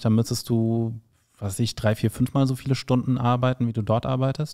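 A man speaks at a moderate pace in a medium pitch, his tone dark and mellow against a quiet background. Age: 40s. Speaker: podcast host and stand-up comedian. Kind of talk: casual interview. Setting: studio with camera. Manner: joking, animated. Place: studio. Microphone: handheld.

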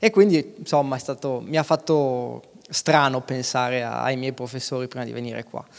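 Man at a medium pitch and moderate pace, with ordinary pitch variation, big swings in loudness and a quiet background. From Aosta Valley, Italy (Valtournenche); Aosta Valley, Italy. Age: 30s. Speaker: mountain guide and alpinist; mountain guide. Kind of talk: talk on stage. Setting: stage with audience. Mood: relaxed, smiling. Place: stage. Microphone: handheld.

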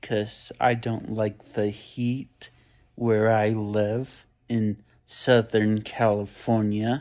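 A man talks at a very slow pace in a monotone, flat delivery. The background is quiet. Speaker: vlogger. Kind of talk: casual vlog chat. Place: home room. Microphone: phone near.

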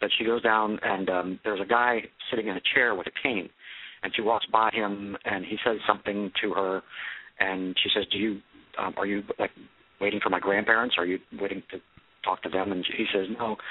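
Fairly quick and in a monotone, flat intonation, a man speaks at a fairly low pitch. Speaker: caller. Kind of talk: casual chat. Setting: phone call. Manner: halting, many fillers.

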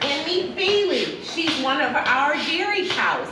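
A woman's voice carries audible room echo. Noticeable background noise can be heard behind her. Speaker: farm educator tour guide. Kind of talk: tutorial. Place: farm machine.

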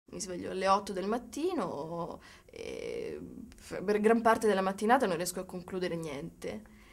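Her loudness swings widely while the woman keeps a moderate pace. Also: quiet background. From Sicily, Catania; Sicily. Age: 20s. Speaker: writer; interviewee. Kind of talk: interview. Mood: relaxed, reflective, playful. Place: studio.

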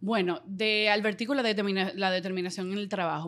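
A woman speaks at a very fast pace. The background is quiet. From Dominican Republic. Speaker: radio and TV presenter; radio, TV presenter. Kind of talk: casual interview. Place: studio. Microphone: studio mic.

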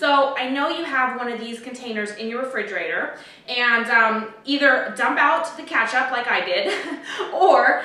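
In a room with audible echo, a woman with a high voice speaks at a moderate pace with ordinary pitch variation. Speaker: home cooking host. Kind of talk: tutorial. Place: kitchen. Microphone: camera far.

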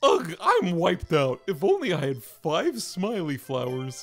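A put-on character voice at middle pitch and a fairly slow pace, with faint music in the background. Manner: grumpy, weary.

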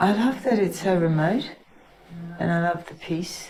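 A woman's fairly low voice at a moderate pace with ordinary pitch variation, audible room echo and noticeable background noise. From Queensland, Australia. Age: 60s. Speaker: witness with Parkinson's disease. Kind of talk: testimony. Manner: halting.

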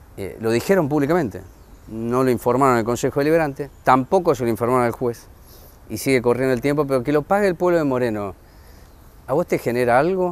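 A man rattles off his words at a very fast pace. The pitch of his voice is medium. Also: ordinary pitch variation. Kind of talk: interview.

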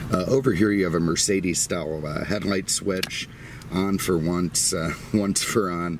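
With a very deep, low pitch, a man speaks at a moderate pace and ordinary pitch variation, the sound dry with no echo but with noticeable background noise. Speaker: car dealer reviewer. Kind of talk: car review walkaround commentary. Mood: relaxed, jokey. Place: car. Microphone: phone near.

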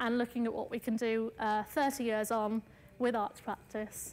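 A woman's fairly high-pitched voice in a monotone, flat intonation. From Punjab, India, then England from primary school age. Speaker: artist. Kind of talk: lecture. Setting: lecture hall with audience. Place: hall.

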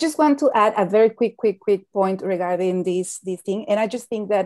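Her tone is dark and mellow, and she is a woman with a Spanish accent. The background is quiet. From Mexico. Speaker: climate finance expert; panel expert. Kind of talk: panel discussion. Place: home room. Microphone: earbuds.

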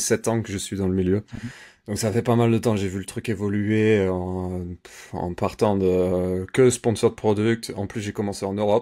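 A dark, mellow tone at a moderate pace over a quiet background. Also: man. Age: 30s. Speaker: Amazon advertising campaign manager; interview guest. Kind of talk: interview. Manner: hesitant, many fillers. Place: home room. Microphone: video call.

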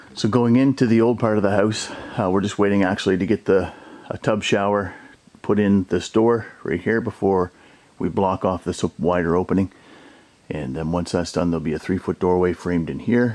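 A man speaks in a normal speaking voice. His pitch is fairly low, with ordinary pitch variation. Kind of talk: casual walkthrough narration. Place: home room. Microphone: phone near.

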